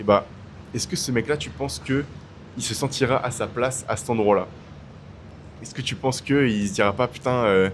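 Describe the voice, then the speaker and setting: Pitch variation is ordinary as this man holds a medium pitch. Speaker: YouTuber. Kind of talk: casual vlog talk. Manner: loud; casual, hesitant with fillers.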